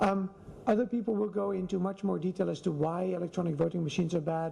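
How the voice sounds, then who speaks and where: Over noticeable background noise, the speech moves at a very fast pace. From Netherlands, Amsterdam. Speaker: election security activist. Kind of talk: conference talk. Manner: hesitant, many fillers.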